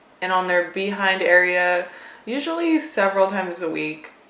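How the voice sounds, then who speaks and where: Noticeable background noise under a woman's medium-pitched voice. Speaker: cat owner and pet vlogger. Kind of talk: casual talk to camera.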